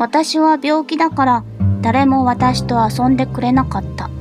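The speech moves at a fairly slow pace, with a dry sound that has no echo and noticeable background noise. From Kochi, Japan. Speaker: VTuber. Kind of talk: horror game let's play. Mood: cheerful, playful, apologetic.

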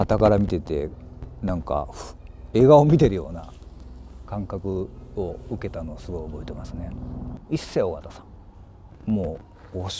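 With light background noise and a dry, echo-free sound, a man speaks at a moderate pace in a very deep, low pitch, his pitch swinging very widely and his speech broken by long, frequent pauses. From Kansai, Japan (rural basin). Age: 50s. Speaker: actor. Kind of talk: interview answers. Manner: halting, with many pauses and fillers. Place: open country.

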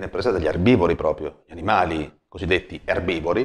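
In a quiet background, a man speaks with ordinary pitch variation. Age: 30s. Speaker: personal trainer. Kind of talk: vlog monologue. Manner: hesitant. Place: home room. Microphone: lapel.

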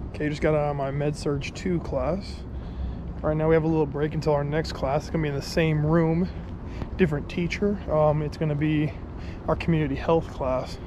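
A man's fairly quick, monotone, flat delivery, dry with no echo, amid noticeable background noise. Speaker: student vlogger. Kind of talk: casual vlog chat. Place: street. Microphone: phone near.

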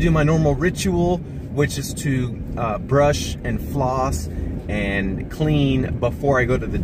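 Noticeable background noise accompanies a man whose voice sounds dry, with no echo. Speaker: family vlogger. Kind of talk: casual vlog chat. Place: car. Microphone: phone near.

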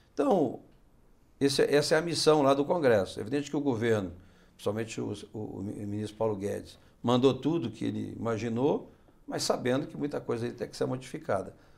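With vocal fry and a medium pitch, a man talks at a fairly quick pace, showing ordinary pitch variation and big swings in loudness. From Brasília, raised there from age 13 (born Minas Gerais). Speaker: senator. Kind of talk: interview. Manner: halting, frequent fillers and repetitions. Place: studio. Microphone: lapel.

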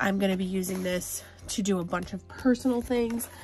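A woman talks at a fairly quick pace with fairly even intonation. Her voice is somewhat breathy, with light background noise. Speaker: planner vlogger. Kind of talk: casual vlog chat.

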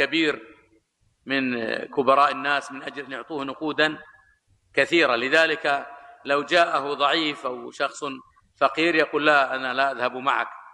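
A man talks at a fairly slow pace with monotone, flat intonation against a quiet background. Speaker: religious lecturer. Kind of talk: sermon. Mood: critical, mildly sarcastic storytelling. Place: hall. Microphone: podium.

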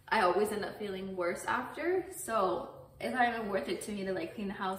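Noticeable background noise sits under speech that runs at a fairly quick pace with fairly even intonation. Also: woman. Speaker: stay-at-home mom vlogger. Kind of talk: casual talk to camera.

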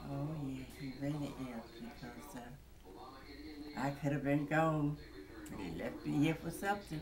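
Against noticeable background noise, a woman talks at a fairly slow pace, her loudness swinging widely. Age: 80s+. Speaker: voter. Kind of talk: interview. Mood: grateful, faith-filled, warm. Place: home room. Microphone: phone near.

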